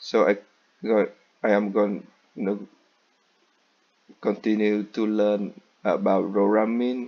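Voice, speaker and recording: A man talks very slowly, at a fairly low pitch, with long, frequent pauses. His delivery is monotone and flat, and his loudness stays very even. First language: not English. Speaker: student. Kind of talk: class presentation.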